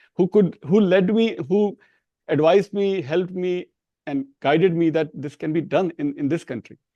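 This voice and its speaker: A man with an Indian accent, high-pitched for a man, at a moderate pace, dark and mellow in tone, with lively intonation and a dry, close sound with no echo. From India, small Hindi-speaking town. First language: Hindi. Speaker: professor. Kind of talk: interview. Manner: halting, with repetitions.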